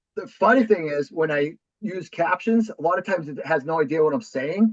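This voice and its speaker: With a Boston accent, the speaker moves at a fairly quick pace and uses lively intonation. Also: man, high pitch for a man. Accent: thick Boston. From New Hampshire, US Northeast. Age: 40s. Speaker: real estate investor. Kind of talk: podcast interview.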